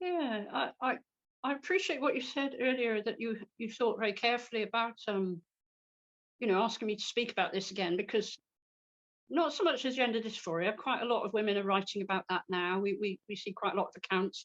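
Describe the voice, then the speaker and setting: Speaking with a British accent against a quiet background, a woman with a fairly high pitch talks at a fairly quick pace with ordinary pitch variation, the sound dry and close with no echo. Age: 60s. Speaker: political cartoonist. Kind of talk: interview. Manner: hesitant, repeats words.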